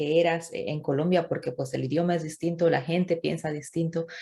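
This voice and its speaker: Her fairly low, dark and mellow voice, with vocal fry and a monotone, flat intonation, comes through in a very clean recording with a silent background. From Bolivia. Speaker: YouTuber interviewer. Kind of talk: interview conversation.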